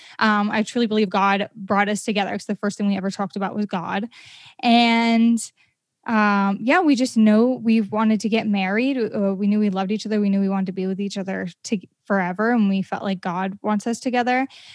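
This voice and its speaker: On a very clean recording with a silent background, a woman talks in an unremarkable speaking voice at a fairly quick pace with fairly even intonation. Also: medium pitch for a woman. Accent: American. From Maine, US. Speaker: podcaster and entrepreneur. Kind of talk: casual interview.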